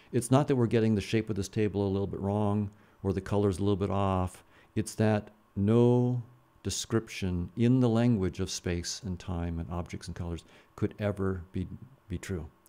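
A man's dark, mellow voice, fairly low in pitch, with fairly even intonation at a moderate pace. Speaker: podcast guest. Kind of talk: interview answer. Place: studio. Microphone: studio mic.

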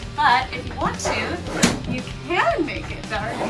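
The voice belongs to a woman. Music plays loudly behind her. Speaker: vlogger giving boat tour. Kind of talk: casual vlog chat. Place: boat. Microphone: camera far.

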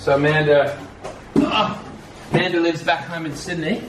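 A man talks at a moderate pace. Noticeable background noise runs underneath. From Australia (Sydney). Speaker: vlogger's partner, co-presenter. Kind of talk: casual unboxing chat. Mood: cheerful, enthusiastic. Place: home room. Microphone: camera far.

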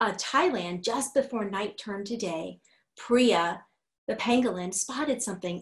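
This is plain reading aloud with a quiet background.

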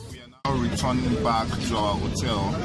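Clear music plays in the background as a man speaks with a dry sound and no echo. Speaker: travel vlogger. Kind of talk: casual vlog chat. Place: street. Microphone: phone near.

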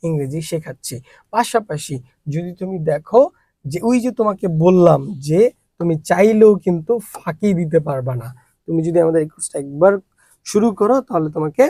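A dark, mellow tone colors this man's high voice. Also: lively intonation. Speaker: English teacher promoting own course. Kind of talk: course promo and lecture.

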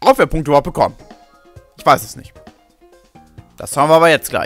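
Music plays in the background. A man with a fairly high pitch speaks at a very fast pace. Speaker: gaming let's player. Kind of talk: casual gameplay commentary.

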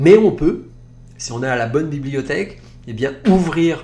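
A man speaks at a very slow pace in a fairly high pitch. Room echo is audible. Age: 50s. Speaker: naturopath and podcast host. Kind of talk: advice monologue.

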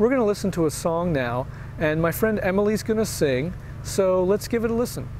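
A man talks at a moderate pace in a dry sound with no echo and light background noise. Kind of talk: devotional introduction to camera. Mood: warm, sincere. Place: home room.

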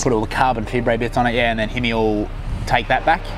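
The man's intonation is monotone and flat. Noticeable background noise is present. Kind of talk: casual vlog chat. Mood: laid-back, joking. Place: street.

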